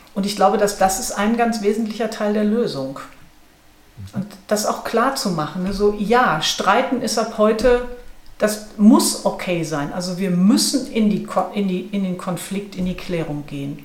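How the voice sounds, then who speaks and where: With audible room echo, a woman of medium pitch speaks at a fairly slow pace and varies her pitch in an ordinary way. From Ruhr area, Germany. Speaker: management consultant and author. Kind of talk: interview conversation.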